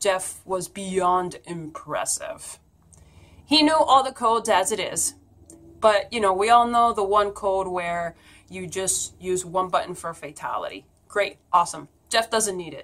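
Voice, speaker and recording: An unremarkable speaking voice at a fairly slow pace, with lively intonation and big swings in loudness. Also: woman, medium pitch for a woman. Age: 30s. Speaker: YouTuber and pagan priestess. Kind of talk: personal vlog message.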